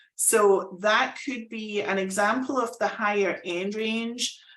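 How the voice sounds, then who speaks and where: A woman with a Scottish accent. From Scotland. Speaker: fractional executive, business consultant. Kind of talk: live presentation. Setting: live online presentation.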